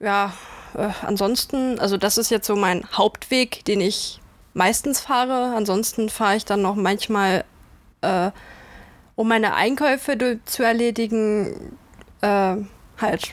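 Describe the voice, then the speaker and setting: A woman with a fairly high voice speaks at a very slow pace, with long, frequent pauses, fairly even intonation and very even loudness, on a very clean recording with a silent background. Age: 20s. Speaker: student. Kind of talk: casual chat.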